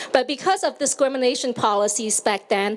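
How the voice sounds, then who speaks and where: Noticeable background noise beneath a fairly quick pace and lively intonation. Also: woman. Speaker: county office director for immigrants. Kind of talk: public speech at outdoor event.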